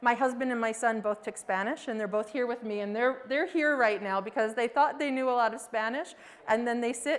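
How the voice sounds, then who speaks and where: Speaking at a moderate pace with an American accent, a woman has a high pitch and ordinary pitch variation. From United States. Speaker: professor of education. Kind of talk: lecture. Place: classroom.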